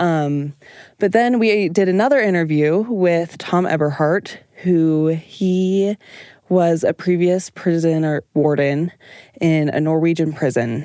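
In an ordinary speaking voice, a woman talks at a fairly slow pace with fairly low pitch and ordinary pitch variation. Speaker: student podcast team member. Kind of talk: reflective interview.

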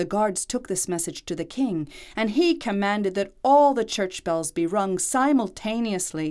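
Natural-voiced reading aloud with lively intonation.

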